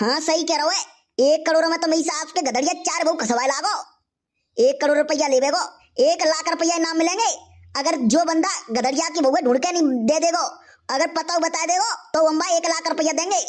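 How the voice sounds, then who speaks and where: A cartoonish character voice at an extremely high pitch moves along at a fairly quick pace. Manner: bossy, hectoring.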